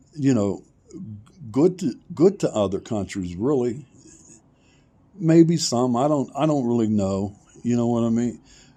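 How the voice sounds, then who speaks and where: A man's dark, mellow tone with lively intonation, a fairly slow pace and a quiet background. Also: long, frequent pauses. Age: 60s. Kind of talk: personal monologue vlog. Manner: halting, many fillers.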